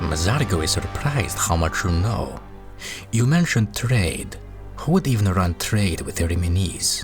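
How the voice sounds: With clear music in the background, a man performs a put-on character voice at a fairly low pitch and a moderate pace.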